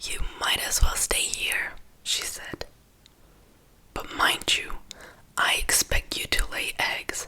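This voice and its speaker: Whispered words come at a very slow pace, broken by long, frequent pauses, with noticeable background noise behind them. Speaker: ASMR creator. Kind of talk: bedtime story reading. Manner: soft-spoken, whispered. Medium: read story.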